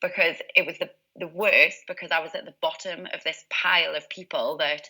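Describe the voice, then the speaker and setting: A woman speaks with a Geordie accent. Her pace is moderate. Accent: Geordie (Newcastle). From northern England, Newcastle. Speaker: positive psychologist and success coach. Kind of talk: interview.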